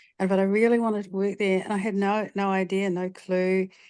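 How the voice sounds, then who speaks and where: The speaker has a New Zealand accent and a moderate pace. Intonation stays monotone and flat. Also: woman. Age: 60s. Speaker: retired film and television producer. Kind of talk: audience question in an online session, personal story. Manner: halting, many fillers and repeats.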